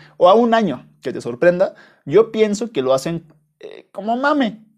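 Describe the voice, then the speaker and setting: A man talks with lively intonation. The recording is very clean, and the background is silent. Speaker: podcast host. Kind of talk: casual monologue. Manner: halting, with frequent repetitions. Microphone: new small microphone.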